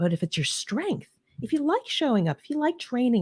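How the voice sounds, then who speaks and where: A somewhat breathy woman with an American accent swings her pitch very widely, the sound dry and close with no echo. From US East Coast, New Jersey/New York area. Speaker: leadership advisor and podcast host. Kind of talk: interview conversation. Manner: fast.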